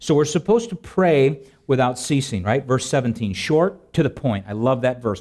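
A man's fairly high voice with very wide pitch swings against a quiet background. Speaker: preacher. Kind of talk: sermon. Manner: reads scripture aloud in a solemn, steady cadence, then explains it; conversational, humorous, with filler words and laughs. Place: church.

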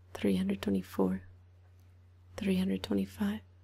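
A woman speaks at a very deep, low pitch in a relaxed, dark, mellow tone. Her intonation is monotone and flat. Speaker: ASMR creator. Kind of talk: ASMR counting to help sleep. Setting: binaural 3D microphone, ear to ear. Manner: soft-spoken, relaxed, slow counting. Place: home room. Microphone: studio mic.

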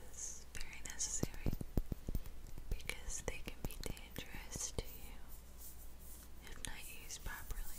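The speech moves at a moderate pace with long, frequent pauses. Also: woman. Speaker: ASMR creator. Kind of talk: ASMR whispering video. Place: home room. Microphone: studio mic.

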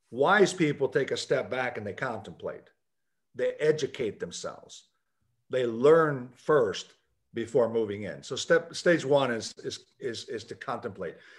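The man's loudness swings widely as he talks at a fairly slow pace. The background is quiet. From US, Puerto Rican father and Kentucky mother. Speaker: business founder, author and speaker; speaker. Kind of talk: video call interview. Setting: video call. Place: office. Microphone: video call.

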